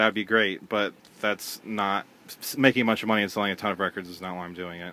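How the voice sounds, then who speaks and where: A man with an American accent talks very fast, his bright, sharp tone carried on fairly even intonation. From US Midwest (Cincinnati, Ohio). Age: 20s. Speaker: record label owner. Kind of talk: casual chat.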